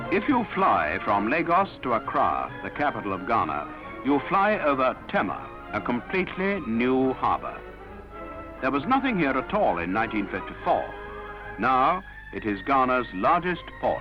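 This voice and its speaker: A man talks at a moderate pace. Music plays behind him. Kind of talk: documentary newsreel narration.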